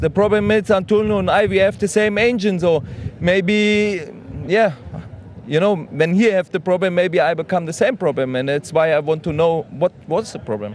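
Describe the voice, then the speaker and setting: A man with a German accent speaks at a moderate pace in a high pitch, his intonation lively, over noticeable background noise. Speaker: truck racing driver. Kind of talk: interview. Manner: halting.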